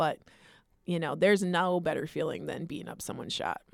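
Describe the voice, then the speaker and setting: A plain, everyday voice with fairly even intonation. The recording is very clean, with a silent background. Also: woman. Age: 40s. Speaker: college basketball head coach. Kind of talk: casual interview. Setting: studio.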